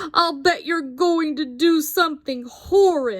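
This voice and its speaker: A woman puts on a character voice with a high pitch. She speaks at a fairly slow pace. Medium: read story.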